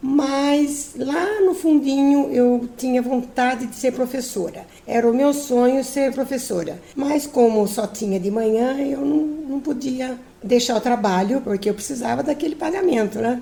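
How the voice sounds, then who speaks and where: Over noticeable background noise, a woman talks at a fairly slow pace in a high pitch. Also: ordinary pitch variation, hardly any pauses. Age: 70s. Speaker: retired teacher. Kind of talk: personal testimony. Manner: some hesitations and repeated words.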